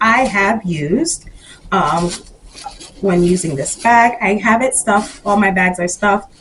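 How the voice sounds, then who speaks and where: A woman talks very slowly at a medium pitch over noticeable background noise. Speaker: fashion YouTuber. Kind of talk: product review vlog. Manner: casual, frequent fillers.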